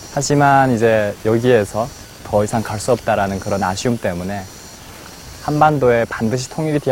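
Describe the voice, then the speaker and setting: Over noticeable background noise, a man talks at a moderate pace. His fairly low voice shows ordinary pitch variation. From North Korea. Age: 20s. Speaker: North Korean defector, university student. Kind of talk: personal testimony.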